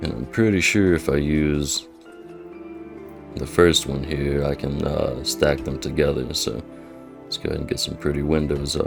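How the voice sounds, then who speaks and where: With music in the background, a man with a very deep, low pitch and a calm, relaxed tone speaks at a moderate pace with ordinary pitch variation and long, frequent pauses. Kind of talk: gameplay commentary.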